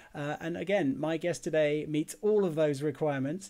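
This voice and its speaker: This man has a plain, everyday voice, fairly high in pitch, with ordinary pitch variation and a fairly quick pace. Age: 40s. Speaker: podcast host. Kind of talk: casual interview.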